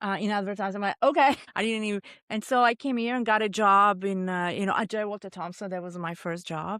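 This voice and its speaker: On a very clean recording with a silent background, a woman at medium pitch talks at a very fast pace with ordinary pitch variation. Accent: Italian. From Italy. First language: Italian. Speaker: chef. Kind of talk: casual chat.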